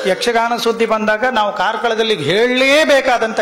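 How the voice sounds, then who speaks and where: A man talks at an extremely high pitch. Noticeable background noise is present. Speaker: stand-up comedian. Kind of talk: live stand-up comedy performance.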